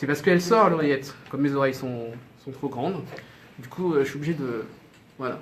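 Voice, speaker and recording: A man talks at a fairly quick pace with a fairly high pitch. He leaves long, frequent pauses, and the room echo is audible. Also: ordinary pitch variation, big swings in loudness. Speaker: TV news presenter. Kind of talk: news briefing; behind-the-scenes tour. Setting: TV studio. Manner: stutter; hesitant, many fillers.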